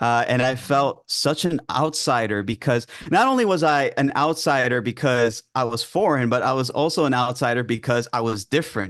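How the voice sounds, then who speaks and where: With a New York accent, a man speaks at a moderate pace with hardly any pauses and very even loudness. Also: medium pitch for a man, ordinary pitch variation. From New York, with early childhood in Greece. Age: 20s. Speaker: ADHD coach. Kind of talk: interview. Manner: hesitant, many fillers.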